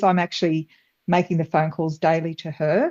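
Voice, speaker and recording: The speaker is a woman. Her words come out in an Australian accent. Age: 60s. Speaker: webinar participant. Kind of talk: casual discussion.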